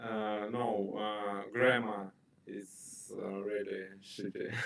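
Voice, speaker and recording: Amid noticeable background noise and audible room echo, a man with a fairly low pitch speaks at a very slow pace in a monotone, flat way. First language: Russian. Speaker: stranger on video chat app. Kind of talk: casual chat. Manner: halting.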